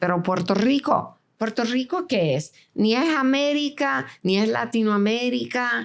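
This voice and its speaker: A woman speaks at a very slow pace with very wide pitch swings. The recording is very clean, with a silent background. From Venezuela (Caracas), born in New York. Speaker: film director and producer. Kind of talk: interview.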